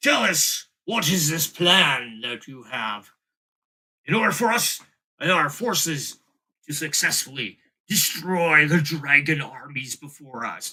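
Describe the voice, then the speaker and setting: A man puts on a raspy character voice with a fairly high pitch. He delivers it at a fairly slow pace. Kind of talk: dramatic, formal.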